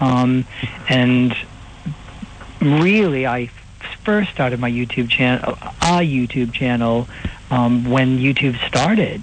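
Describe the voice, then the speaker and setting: An American accent at a very slow pace, with long, frequent pauses, very even loudness, ordinary pitch variation and noticeable background noise. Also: man, medium pitch for a man. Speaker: impersonator and comedian. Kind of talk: interview. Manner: hesitant, many fillers.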